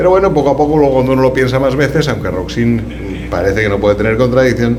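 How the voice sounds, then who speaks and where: A man with a Castilian accent talks at a very fast pace in a medium pitch, with lively intonation and very even loudness, amid noticeable background noise and audible room echo. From Spain. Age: 60s. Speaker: law professor. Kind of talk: lecture. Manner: halting.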